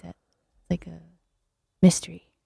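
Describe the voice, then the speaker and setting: Dark, mellow tone with an American accent, in a dry, close sound with no echo. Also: woman. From US Northeast (New Haven, Connecticut). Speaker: artist, gallery member. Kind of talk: radio interview.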